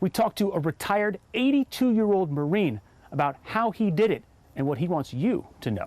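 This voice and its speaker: A man's voice sits high in pitch and swings very widely. He talks at a fairly quick pace, with a dry, close sound and no echo. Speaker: TV news reporter. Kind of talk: TV news report stand-up.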